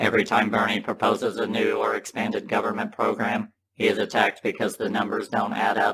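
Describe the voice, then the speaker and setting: A raspy, cartoonish character voice from a man, fairly quick with hardly any pauses. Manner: earnest, simple-minded.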